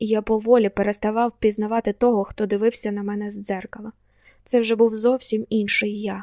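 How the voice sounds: Reading done in a natural voice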